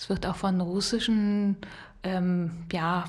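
Somewhat breathy, this voice moves at a very slow pace. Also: woman. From Rhineland, western Germany. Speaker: podcast co-host. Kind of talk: casual chat.

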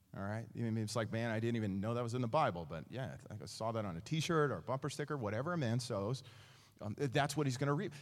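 Audible room echo carries a man's animated tone. He speaks at a very fast pace. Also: medium pitch for a man. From East Texas. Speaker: pastor. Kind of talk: sermon. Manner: animated, conversational with many fillers and repetitions.

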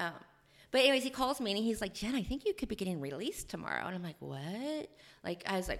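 A woman with an American accent, vocal fry and very wide pitch swings, in a very clean recording with a silent background. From rural Ohio. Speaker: author and prison reform advocate. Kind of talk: interview storytelling.

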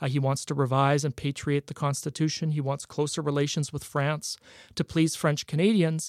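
The speaker talks at a moderate pace in a flat monotone. The sound is dry and close with no echo, and the recording is very clean over a silent background. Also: man, fairly high pitch for a man. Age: young. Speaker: historian and author. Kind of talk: interview. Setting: radio studio.

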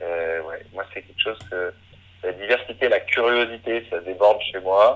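A man at a fairly slow pace. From Brittany, France. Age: 30s. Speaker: eco-adventurer. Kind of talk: interview.

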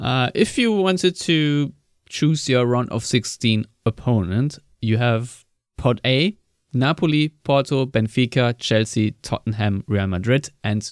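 With a German accent, a man speaks at a medium pitch with lively intonation. The recording is very clean, with a silent background and a dry, close sound with no echo. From Germany. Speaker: football podcast host. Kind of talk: casual chat. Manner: slow.

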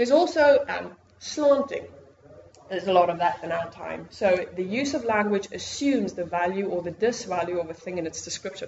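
Over noticeable background noise, a woman with a South African accent speaks at a fairly quick pace with lively intonation. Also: medium pitch for a woman. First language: Afrikaans. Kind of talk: lecture. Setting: stage with audience.

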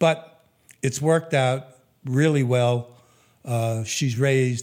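The pace is very slow. Intonation stays fairly even. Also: man. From New York, Brooklyn. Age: 80s+. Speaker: businessman. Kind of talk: interview storytelling. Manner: hesitant with fillers.

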